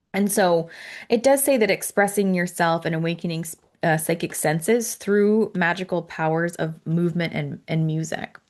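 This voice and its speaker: A woman is speaking. The background is quiet. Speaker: angel card reader. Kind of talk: tutorial. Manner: fast; casual, with many fillers.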